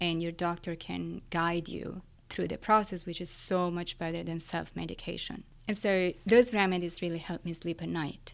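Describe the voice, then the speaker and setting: With an Italian accent, the speaker uses fairly even intonation on a very clean recording with a silent background. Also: woman, fairly low pitch for a woman, moderate pace. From Italy, Florence. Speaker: neuroscientist. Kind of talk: interview.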